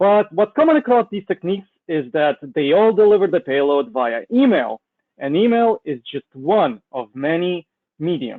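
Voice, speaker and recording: Very wide pitch swings in a Russian accent at a moderate pace. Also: man, high pitch for a man. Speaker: cybersecurity consultant presenting a webinar. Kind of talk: webinar presentation. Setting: online webinar with slides.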